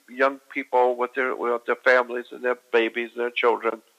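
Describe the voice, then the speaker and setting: A man's bright, sharp tone comes through at medium pitch and a moderate pace, in a dry, close sound with no echo. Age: 70s. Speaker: conspiracy researcher. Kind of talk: casual chat.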